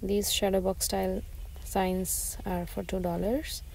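Speech comes at a very slow pace. The sound is dry with no echo, and there is light background noise. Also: woman. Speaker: shopping vlogger. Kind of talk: casual vlog chat. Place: shop.

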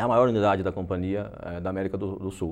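A man is speaking here. He talks at a fairly quick pace. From Brazil, interior of São Paulo state. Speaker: franchise owner. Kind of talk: interview. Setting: TV studio. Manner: halting, many repeated words. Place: studio. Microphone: lapel.

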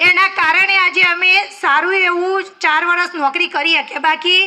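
Over noticeable background noise, a woman projects a raised voice at an extremely high pitch with fairly even intonation. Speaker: village school teacher. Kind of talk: farewell speech.

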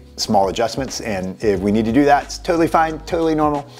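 Faint background music accompanies a man's speech. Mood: friendly, reassuring. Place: office. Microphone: lapel.

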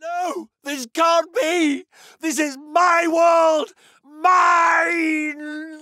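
A man's put-on character voice, shouted at an extremely high pitch and a very slow pace. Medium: dub. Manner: theatrical, gloating, mocking.

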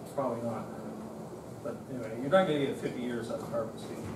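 A man talks at a fairly quick pace with ordinary pitch variation, and the clip has audible room echo and noticeable background noise. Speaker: instructor. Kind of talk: lecture. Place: classroom.

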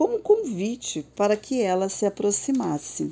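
On a very clean recording with a silent background, a woman with a Brazilian accent speaks very slowly at medium pitch, her tone dark, mellow, gentle and warm, with very wide pitch swings. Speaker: storyteller narrator. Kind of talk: bedtime story narration, read aloud. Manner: soft, slow and soothing; gentle, lilting and dreamy, with warm storybook expression.

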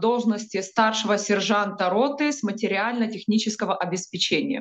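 A woman speaks with fairly even intonation, keeping to a moderate pace. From Ukraine. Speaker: combat medic. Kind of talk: news report interview. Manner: halting, with filler sounds. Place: home room. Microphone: video call.

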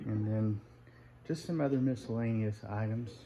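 Against light background noise, a man talks with fairly even intonation. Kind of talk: casual walk-through tour commentary. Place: shop. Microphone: phone near.

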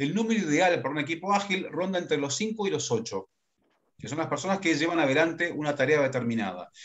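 His intonation rises and falls in a lively way. The man keeps up a fairly quick pace. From Argentina, Córdoba and Buenos Aires; Argentina. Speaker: leadership consultant and workshop facilitator; workshop facilitator. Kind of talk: workshop lecture. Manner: fast. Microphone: video call.

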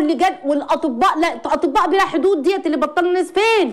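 In an animated tone, a woman speaks at an extremely high pitch with lively intonation against a quiet background. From Egypt. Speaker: psychologist; guest. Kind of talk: call-in advice show. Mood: impassioned, distressed in places. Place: studio. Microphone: lapel.

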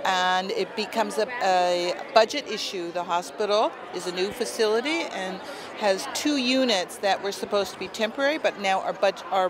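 Noticeable background noise sits under the speech. The pace is moderate and the sound is dry with no echo. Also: woman. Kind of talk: interview answer. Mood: earnest, concerned. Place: street. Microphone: phone near.

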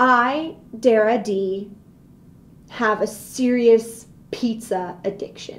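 A woman with a high-pitched voice speaks in an animated, dramatic tone. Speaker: video blogger ranting comedic. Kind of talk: comedic rant, vlog-style casual monologue. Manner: animated, exaggerated, mock-dramatic; sarcastic, playful, self-joking. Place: office. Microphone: webcam.

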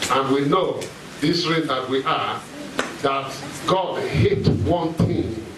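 A man talks fairly slowly as noticeable background noise carries on behind him. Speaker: pastor. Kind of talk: sermon. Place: hall.

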